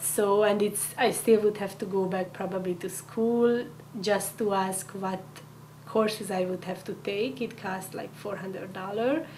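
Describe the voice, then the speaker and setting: A woman with a Hungarian accent at a fairly slow pace and fairly even intonation, over noticeable background noise and audible room echo. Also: medium pitch for a woman. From Hungary. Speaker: immigrant, community coordinator. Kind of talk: interview. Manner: halting.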